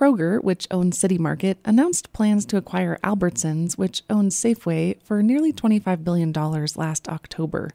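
A dark, mellow tone moves at a moderate pace with lively intonation and hardly any pauses. The recording is very clean and dry, close with no echo and a silent background. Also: woman, fairly low pitch for a woman. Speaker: radio reporter. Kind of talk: news reporting.

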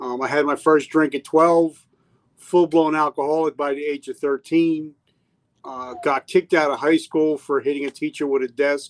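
Dry and close with no echo, a man with an American accent speaks at a moderate pace in a fairly high, monotone voice with flat intonation. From New Jersey. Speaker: military veteran and podcast host. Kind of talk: interview conversation. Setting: remote recorded live stream.

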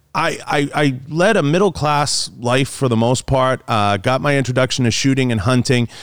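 A man with a normal speaking voice and an American accent talks at a moderate pace and medium pitch, with ordinary pitch variation and very even loudness. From Boston, Massachusetts. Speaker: podcast host and outdoor media personality. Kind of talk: casual chat.

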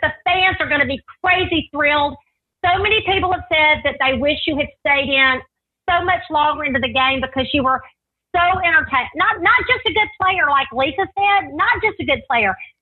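At a moderate pace, a woman speaks at a high pitch with lively intonation. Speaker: podcast co-host interviewer. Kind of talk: casual interview chat.

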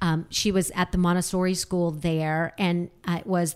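A woman with an American accent uses a normal speaking voice, speaking at a fairly slow pace and fairly low pitch with fairly even intonation. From US South (Alabama). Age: 50s. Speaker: magazine publisher. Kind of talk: casual chat.

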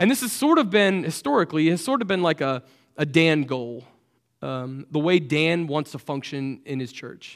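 In an ordinary speaking voice, a man with a fairly high pitch talks at a fairly quick pace with lively intonation on a very clean recording with a silent background. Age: 30s. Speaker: church staff member preaching. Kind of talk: sermon. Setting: church service with congregation. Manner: casual, many fillers.

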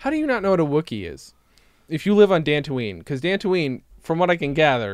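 A man with an American accent speaks at a fairly quick pace. His pitch swings very widely. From central New York. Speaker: comedy podcast co-host. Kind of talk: casual chat.

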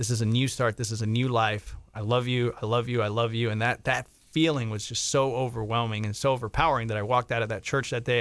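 A man talks at a very fast pace in a medium pitch, his intonation fairly even, with a quiet background. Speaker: fitness coach. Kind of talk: testimony. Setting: studio.

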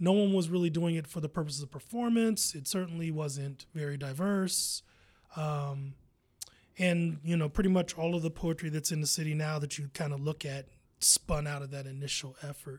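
On a very clean recording with a silent background, a man with a plain, everyday voice speaks at a moderate pace, with a fairly high pitch and ordinary pitch variation. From US Midwest, Columbus, Ohio. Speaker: poet and arts organizer. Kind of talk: interview.

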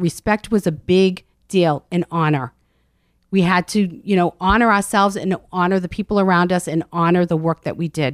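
Recorded very cleanly with a silent background and a dry, close sound with no echo, a woman with an American accent and an unremarkable speaking voice talks at a moderate pace, fairly low in pitch with ordinary pitch variation. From Medford, Massachusetts. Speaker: intuitive coach and author. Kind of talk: casual interview.

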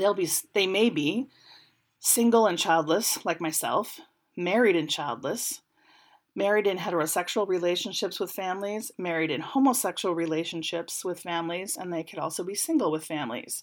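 On a very clean recording with a silent background, a woman with a plain, everyday voice speaks at a moderate pace and fairly low pitch with ordinary pitch variation. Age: 40s. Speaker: podcast host. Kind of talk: solo commentary podcast. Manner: casual with frequent fillers.

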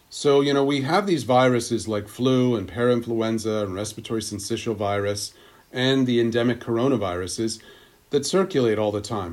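A man with a normal speaking voice and an American accent talks at a fairly quick pace. His pitch is medium, with ordinary pitch variation. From Pennsylvania (Pittsburgh, then suburban Philadelphia). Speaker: epidemiologist and climate scientist. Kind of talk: interview.

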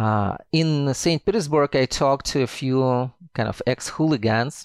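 In a Russian accent, a man of medium pitch speaks with ordinary pitch variation on a very clean recording with a silent background. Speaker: historian, author. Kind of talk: interview.

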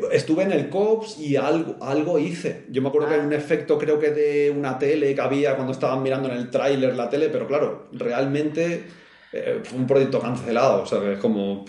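Audible room echo surrounds a man with a fairly high voice. He talks at a moderate pace with ordinary pitch variation. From Spain (Barcelona). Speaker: video game VFX artist. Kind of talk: casual interview chat.

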